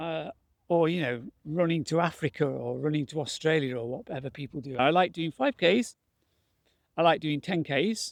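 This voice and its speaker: This man speaks with an English accent at a fairly high pitch. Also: ordinary pitch variation, moderate pace. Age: 60s. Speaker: retired barrister turned masters mountain runner. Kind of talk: casual vlog talk to camera.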